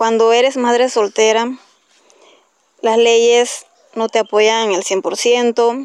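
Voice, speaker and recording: Very slowly and with long, frequent pauses, a woman talks in a fairly high, monotone voice with flat intonation. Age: 30s. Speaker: single mother. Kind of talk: testimony.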